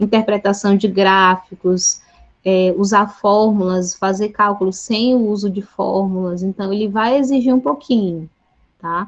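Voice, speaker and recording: At a fairly slow pace, a woman speaks with a normal speaking voice, a medium pitch and fairly even intonation. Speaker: chemistry teacher. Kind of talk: online Q&A session with students.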